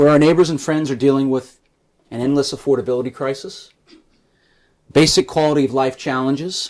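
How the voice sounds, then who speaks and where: A man with a New York accent talks at a fairly quick pace in a fairly high pitch, with fairly even intonation and long, frequent pauses. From New York City, Staten Island. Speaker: political candidate and history professor. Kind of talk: campaign speech. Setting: in-person gathering with audience. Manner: reading prepared remarks.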